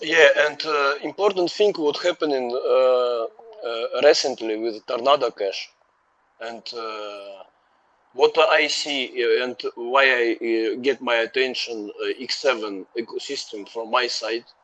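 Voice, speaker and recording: A man talks with a non-native accent. His pitch variation is ordinary. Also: medium pitch for a man, fairly slow pace. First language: not English. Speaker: community member. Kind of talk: casual chat. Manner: halting, many fillers.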